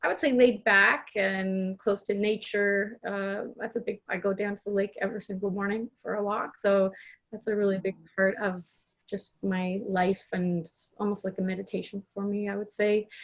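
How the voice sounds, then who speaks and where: With a slight Canadian accent, a woman speaks at a moderate pace and medium pitch. Her intonation is monotone and flat. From Canada, Toronto. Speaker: life coach and coach trainer. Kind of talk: podcast interview.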